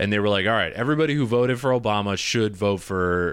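A man with an American accent and a plain, everyday voice, fairly low in pitch, with ordinary pitch variation, on a very clean recording against a silent background. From Michigan. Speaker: podcast host and comedian. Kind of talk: casual chat.

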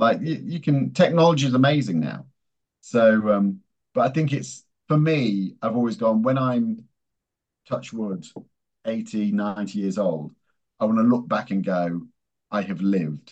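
A man with an English accent speaks at a medium pitch and a fairly slow pace, his pitch swinging very widely, with long, frequent pauses. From England. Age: 50s. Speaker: strategy executive in advertising. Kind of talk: interview.

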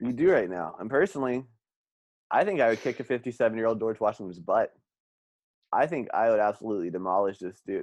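A man with an unremarkable speaking voice, medium in pitch, at a fairly quick pace against a quiet background. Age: 20s. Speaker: podcast host. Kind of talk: casual comedic chat.

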